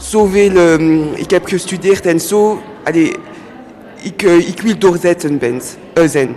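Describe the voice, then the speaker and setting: A woman talks at a very slow pace with a fairly low pitch. Music plays in the background. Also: ordinary pitch variation. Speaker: lawyer learning Dutch as second language. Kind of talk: radio interview. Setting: live radio at public event in cinema. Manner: halting, many hesitations.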